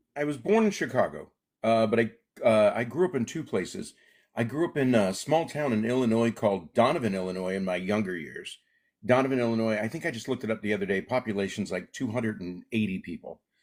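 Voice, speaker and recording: On a very clean recording with a silent background, a man with an American accent talks at a very fast pace, using a medium pitch and lively intonation. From Alaska. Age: 60s. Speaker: comedian. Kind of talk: interview.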